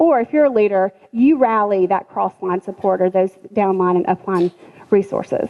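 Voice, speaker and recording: At a moderate pace, a woman talks with a medium pitch and ordinary pitch variation while background noise is noticeable. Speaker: business trainer for essential oil sellers. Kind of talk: business class talk. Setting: room with live audience.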